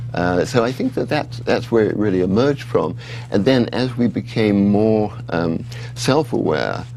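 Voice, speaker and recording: Moderate-paced speech with an English accent and ordinary pitch variation, over noticeable background noise. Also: man, medium pitch for a man. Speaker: author. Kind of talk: interview. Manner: halting.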